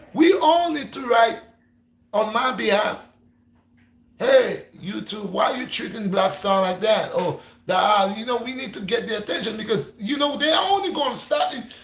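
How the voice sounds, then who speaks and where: With a Gambian accent, a man talks at a moderate pace in an extremely high pitch, his tone animated and his intonation lively, with audible room echo. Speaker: YouTuber, fitness and faith vlogger. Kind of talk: livestream chat. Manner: repetitive, stammering.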